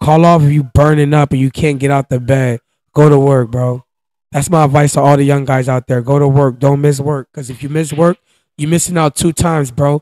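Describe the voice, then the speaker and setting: In an American accent, a man speaks fairly quickly with a fairly high pitch, monotone, flat intonation and a dark, mellow tone, the sound dry with no echo over a quiet background. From US Northeast (Pennsylvania, New Jersey). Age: 20s. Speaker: guest. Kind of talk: casual chat. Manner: casual, slang-heavy. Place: home room. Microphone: handheld.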